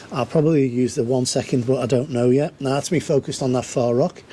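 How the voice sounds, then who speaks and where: Over noticeable background noise, a man speaks at a medium pitch with fairly even intonation. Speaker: landscape photographer. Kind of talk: casual on-location tutorial vlog. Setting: outdoors on coastal rock reef. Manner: hesitant, filler-heavy.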